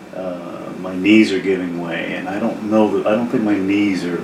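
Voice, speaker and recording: Over noticeable background noise, a man with a very deep, low pitch speaks at a moderate pace and with fairly even intonation. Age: 70s. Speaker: retiree. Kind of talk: casual talk to camera. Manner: hesitant, rambling.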